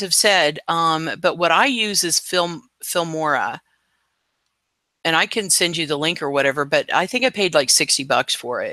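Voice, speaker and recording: Recorded dry and close with no echo, a man talks at a moderate pace in a high voice that swings very widely in pitch. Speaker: live stream host. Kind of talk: casual chat. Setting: live stream. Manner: casual, hesitant with fillers.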